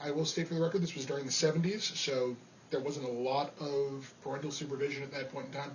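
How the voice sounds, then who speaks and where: Speaking very fast with an American accent, a man uses a fairly high pitch and fairly even intonation amid audible room echo. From New York (Rockland County). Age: 30s. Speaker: amateur cook. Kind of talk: audition monologue. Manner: casual, with fillers.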